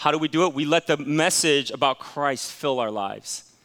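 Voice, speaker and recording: An animated tone from a man with a fairly high pitch. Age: 40s. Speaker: pastor. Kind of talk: sermon. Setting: church.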